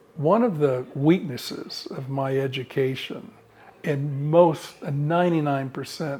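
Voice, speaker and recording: This man's fairly high-pitched voice has a dark, mellow tone, a somewhat breathy quality, and fairly even intonation. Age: 70s. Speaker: architect. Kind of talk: interview. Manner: halting, with many fillers and repeated words.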